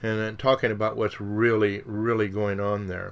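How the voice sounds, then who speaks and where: A man with a fairly low pitch talks at a moderate pace in a plain, everyday voice. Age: 60s. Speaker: radio show host. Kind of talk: solo radio monologue. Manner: conversational, with filler words.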